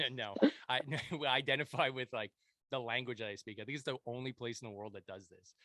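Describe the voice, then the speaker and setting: This man talks very fast with a Montreal accent, at a medium pitch. His intonation is fairly even, but his loudness swings widely. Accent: Montreal anglophone Canadian English. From Quebec, Montreal anglophone. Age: 30s. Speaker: podcast host, veteran. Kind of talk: casual interview chat. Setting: home basement, remote podcast.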